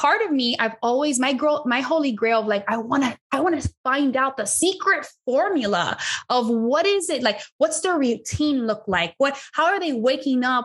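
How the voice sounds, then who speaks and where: Over a quiet background, a woman speaks at a high pitch with lively intonation, very even loudness and a moderate pace. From Miami, Florida (Cuban American). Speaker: business consultant and sales trainer. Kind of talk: interview conversation. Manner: animated.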